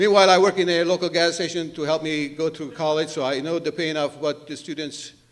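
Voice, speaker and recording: A man's fairly high, fairly quick voice with a non-native accent and fairly even intonation. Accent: foreign accent, noticeable. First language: not English. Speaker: politician. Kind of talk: political debate opening statement.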